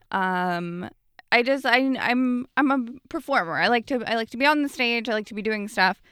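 Very clean with a silent background and dry, close sound with no echo, this recording has a woman of fairly high pitch with a Canadian accent and a bright, sharp tone, her loudness swinging widely while her pitch varies in an ordinary way. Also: moderate pace. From Canada, Ottawa. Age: 20s. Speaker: comedian. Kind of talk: casual chat.

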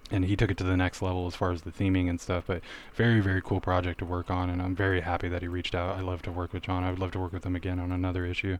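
Speaking very fast with hardly any pauses, a man uses a very deep, low pitch and monotone, flat intonation on a very clean recording with a silent background. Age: 30s. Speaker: fantasy illustrator. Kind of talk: casual interview.

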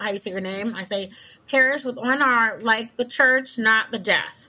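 Speaking at a moderate pace, a woman has a normal speaking voice, a fairly high pitch and ordinary pitch variation. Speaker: podcast host. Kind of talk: casual chat.

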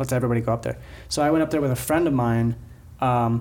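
An ordinary speaking voice, male and medium-pitched, its pitch varying in an ordinary way. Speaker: podcast host. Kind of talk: casual chat.

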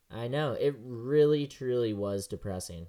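In an unremarkable speaking voice, a man talks at a fairly slow pace with ordinary pitch variation. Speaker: motorsport podcast co-host. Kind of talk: casual chat. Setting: at home, remote call.

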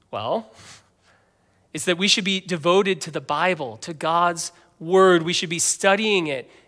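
An American-accented man speaks at a fairly slow pace. His high pitch carries a bright, sharp tone and ordinary pitch variation. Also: long, frequent pauses, very clean recording, silent background. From US, Northern Virginia (Fairfax). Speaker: pastor. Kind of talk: sermon. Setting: church.

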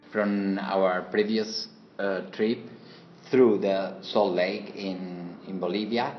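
Speech moves at a very slow pace with fairly even intonation. Noticeable background noise and audible room echo are present. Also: man, fairly low pitch for a man. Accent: Spanish. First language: Spanish. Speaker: interpreter. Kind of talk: interpreted interview. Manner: halting.

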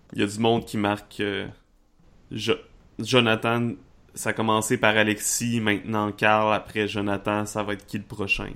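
With a bright, sharp tone and a fairly low pitch, a man speaks in a monotone, flat intonation at a fairly slow pace with long, frequent pauses, on a very clean recording with a silent background. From Quebec, Charlevoix. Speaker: game master. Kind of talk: tabletop roleplaying game narration.

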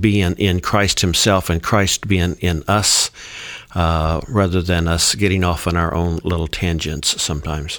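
A man with a very deep, low voice talks at a fairly slow pace with fairly even intonation. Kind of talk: casual discussion.

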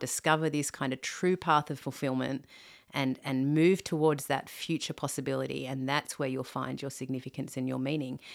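Recorded very cleanly against a silent background, a woman with an Australian accent speaks at a moderate pace in a very deep, low pitch. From Australia, Sydney. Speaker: theologian and author on singleness. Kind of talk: podcast interview. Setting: in person, host's home. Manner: frequent fillers.

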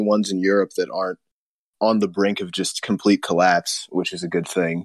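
It's a plain, everyday voice with ordinary pitch variation at a fairly quick pace. The sound is dry and close, with no echo. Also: man. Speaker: podcast host. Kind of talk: casual chat. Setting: video call.

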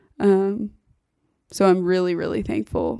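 A woman with an American accent speaks at a moderate speed. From US Midwest, Kansas City area. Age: 20s. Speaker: podcast guest. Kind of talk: casual chat. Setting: studio. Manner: loud.

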